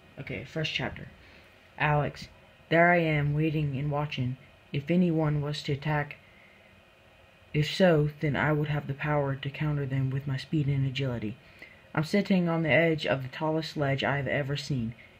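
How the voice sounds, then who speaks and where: A man with a fairly high, somewhat breathy voice speaks at a moderate pace with fairly even intonation. He leaves long, frequent pauses, on a very clean recording with a silent background. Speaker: amateur writer. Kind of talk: read story.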